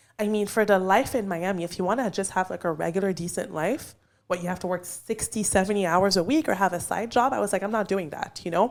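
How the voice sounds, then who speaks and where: Animated and very fast, a woman speaks with a French Canadian accent and ordinary pitch variation. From Quebec, Canada (Montreal), Haitian parents. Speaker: realtor. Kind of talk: casual podcast interview.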